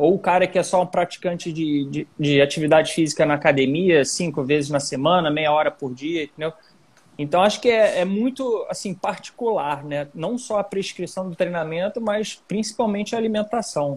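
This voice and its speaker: Moderately paced speech from a man, pitched high, its pitch varying in an ordinary way. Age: 30s. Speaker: triathlete, former pro rower. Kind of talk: casual chat.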